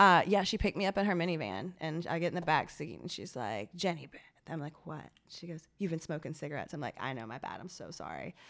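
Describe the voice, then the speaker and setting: A woman speaks at a very fast pace with lively intonation, a fairly low pitch and vocal fry. Her loudness swings widely on a very clean recording with a silent background. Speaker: guest, cannabis industry worker. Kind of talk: casual chat.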